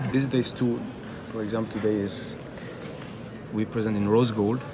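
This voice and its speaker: Amid noticeable background noise and audible room echo, a man talks at a fairly low pitch in a monotone, flat intonation. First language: not English. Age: 30s. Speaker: independent watchmaker. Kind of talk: interview. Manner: halting, many fillers and repeats.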